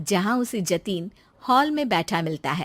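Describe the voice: A woman's medium-pitched voice at a fairly slow pace, with big pitch swings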